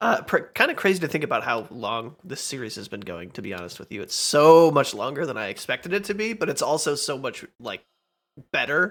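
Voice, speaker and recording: Over a very clean recording with a silent background, a man talks at a fairly quick pace in a fairly high pitch with vocal fry and very wide pitch swings. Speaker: let's play gamer. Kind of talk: casual gameplay commentary. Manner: hesitant, many fillers.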